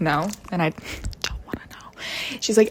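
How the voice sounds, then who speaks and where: A quiet woman at a moderate pace amid noticeable background noise. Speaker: vlogger. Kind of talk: casual rant to camera. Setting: at home. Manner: speaking quietly.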